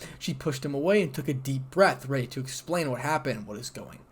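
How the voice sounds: Natural reading voice, its pitch varying in an ordinary way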